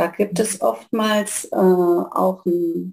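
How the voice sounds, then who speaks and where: With a dark, mellow tone, this woman speaks at a medium pitch. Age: 60s. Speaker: family therapist. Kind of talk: casual interview.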